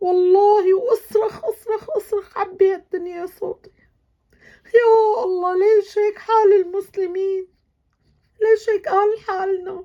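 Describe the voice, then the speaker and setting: Speaking at a very slow pace, a woman uses an extremely high pitch with fairly even intonation. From Syria. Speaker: vlogger. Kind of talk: emotional video monologue. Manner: emotional; halting.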